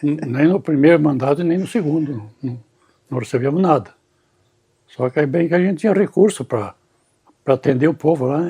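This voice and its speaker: At a moderate pace, a man speaks with a fairly high pitch, ordinary pitch variation and a dark, mellow, somewhat breathy tone. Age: 80s+. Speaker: elderly former local councillor. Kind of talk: interview. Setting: at home. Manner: halting, repeating words.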